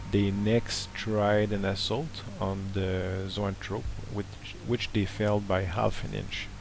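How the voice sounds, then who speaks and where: Speech comes very slowly in a monotone, flat intonation. Noticeable background noise sits behind it. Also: man, fairly low pitch for a man. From Montreal, Quebec, Canada. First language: French. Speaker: tabletop wargaming hobbyist. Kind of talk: battle report voice-over narration. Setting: home recording with background hiss.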